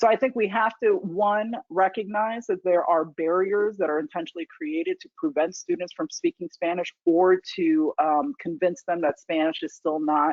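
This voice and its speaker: With hardly any pauses, a woman in a normal speaking voice talks at a moderate pace and medium pitch with ordinary pitch variation. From US, New York and military bases, high school in Indiana. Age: 40s. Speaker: foundation leader. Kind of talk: lecture Q&A talk. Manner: conversational with fillers.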